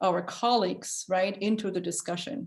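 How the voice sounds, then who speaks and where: At a moderate pace, a somewhat breathy woman speaks with ordinary pitch variation. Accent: German. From Germany. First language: German. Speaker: architecture school dean. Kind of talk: interview. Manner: hesitant, many fillers.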